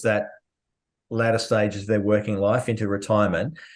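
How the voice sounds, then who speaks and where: A man with an Australian accent speaks at a fairly quick pace in a medium pitch, his intonation monotone and flat, against a quiet background. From Australia, Melbourne. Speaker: trading educator and podcast host. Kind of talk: casual podcast interview.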